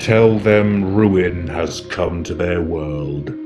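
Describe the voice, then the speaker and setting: Clear background noise sits behind a man's put-on character voice. It is very deep and low, delivered at a very slow pace. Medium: audio drama. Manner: menacing.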